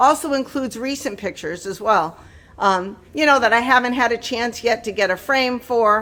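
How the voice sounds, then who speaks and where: Her tone is animated, bright and sharp. The woman's pitch sits fairly high, with ordinary variation. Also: moderate pace. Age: 50s. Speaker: lifestyle vlogger. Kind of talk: product review. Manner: halting.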